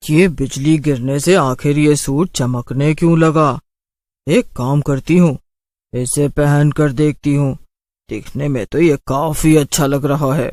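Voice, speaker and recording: A man uses a cartoonish character voice at a fairly slow pace. His pitch is fairly high. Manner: cackling and menacing.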